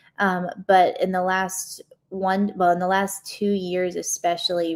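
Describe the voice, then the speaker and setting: At a fairly slow pace, a woman with an unremarkable speaking voice and medium pitch is heard on a very clean recording with a silent background. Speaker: live stream host. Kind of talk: live stream Q&A. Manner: casual, many filler words.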